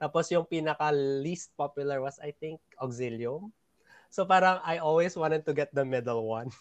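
The sound is dry and close, without echo. A man with a fairly high pitch speaks at a moderate pace with ordinary pitch variation. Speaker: podcast host. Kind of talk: casual chat.

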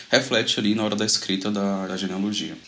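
With noticeable background noise behind him, this man's delivery is fairly quick. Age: 20s. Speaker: Bible study leader, medical student. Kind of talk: casual Bible study discussion. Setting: video call.

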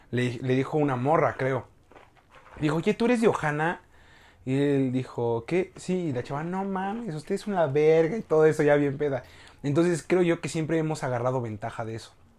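Using a plain, everyday voice, a man speaks at a fairly high pitch and a moderate pace with lively intonation. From Mexico, Hidalgo (Tulancingo). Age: 20s. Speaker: university communication student. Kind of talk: casual chat. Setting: host's home, filmed video podcast.

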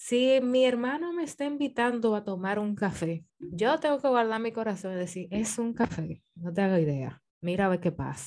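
A woman talks at a medium pitch. Her voice makes very wide pitch swings. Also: moderate pace, hardly any pauses. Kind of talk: casual chat.

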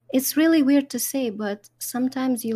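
A woman talks in a calm, soothing tone. Her voice is dark and mellow, with fairly even intonation. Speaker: Twitch streamer. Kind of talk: casual interview chat.

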